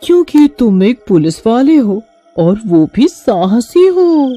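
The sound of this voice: A cartoonish character voice moves at a fairly slow pace with a fairly high pitch and very wide pitch swings. Faint music plays in the background.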